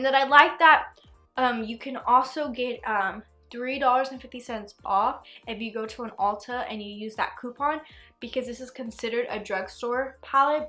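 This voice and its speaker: A woman's high-pitched, bright, sharp voice with big swings in loudness, on a very clean recording with a silent background. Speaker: beauty YouTuber. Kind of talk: product review. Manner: fast; casual, animated.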